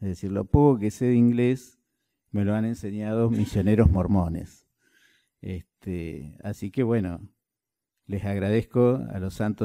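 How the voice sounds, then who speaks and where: A man speaks with a dark, mellow tone at a fairly low pitch, using ordinary pitch variation. His pace is fairly slow, and the recording is very clean with a silent background. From Argentina, Concordia, Entre Ríos. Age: 60s. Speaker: party official. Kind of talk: speech to a meeting.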